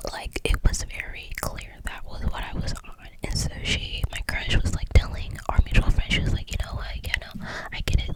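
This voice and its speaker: Noticeable background noise sits behind whispering at a moderate pace. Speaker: ASMR creator. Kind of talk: casual storytime talk to camera. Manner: whispered.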